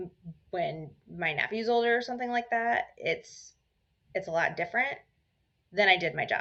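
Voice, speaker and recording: A loud woman's voice at medium pitch, moderate in pace, with lively intonation and long, frequent pauses. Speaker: mental health podcaster. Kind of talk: casual chat.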